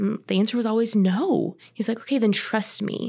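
The recording is very clean with a silent background. A woman speaks in a plain, everyday voice at a moderate pace with fairly even intonation. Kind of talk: casual podcast conversation.

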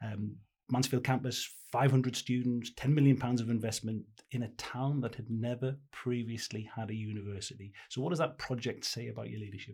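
A man's medium-pitched, somewhat breathy voice, moving at a fairly quick pace with fairly even intonation. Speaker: podcast host. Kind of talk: interview.

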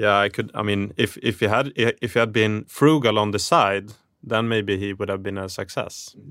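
A man talks at a moderate pace with a fairly low pitch. It is an ordinary speaking voice with fairly even intonation. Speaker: podcast co-host. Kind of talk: interview. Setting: studio.

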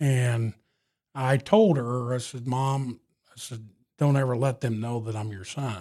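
In an American accent, a man with a dark, mellow tone and medium pitch speaks at a fairly slow pace, with ordinary pitch variation and big swings in loudness. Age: 40s. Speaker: truck driver and former police chief. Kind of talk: interview conversation. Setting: studio.

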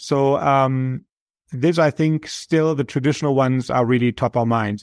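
In a very clean recording with a silent background and a dry, close sound with no echo, a man with a German accent speaks at a moderate pace in a medium pitch, with fairly even intonation. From Germany. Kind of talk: interview.

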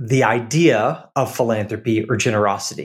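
Using an unremarkable speaking voice, a man talks fairly slowly at medium pitch with fairly even intonation. The recording is very clean, with a silent background. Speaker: podcast host. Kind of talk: casual interview conversation.

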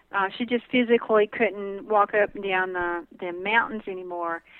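A woman in a Southern US accent, medium in pitch, at a moderate pace with ordinary pitch variation. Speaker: herbalist. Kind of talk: interview.

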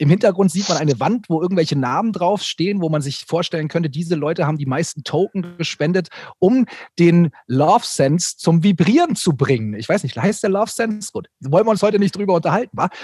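A man's high-pitched, lively voice at a very fast pace, dry and close with no echo. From Bavaria, Germany. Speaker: content creator, YouTuber. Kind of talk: casual chat.

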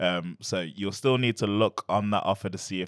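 A man with an East Midlands accent speaks in a very deep, low pitch. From Nottingham, England. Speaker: university schools liaison officer. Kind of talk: informative panel chat. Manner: hesitant, many fillers.

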